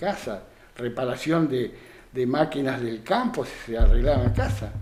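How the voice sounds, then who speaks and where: Speaking at a moderate pace in a Rioplatense accent, a man is heard with audible room echo. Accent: Argentine Rioplatense Spanish. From Argentina, Santa Fe province (San Carlos Centro). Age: 70s. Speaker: retired dairy farmer and craftsman. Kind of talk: radio interview. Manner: hesitant, many fillers.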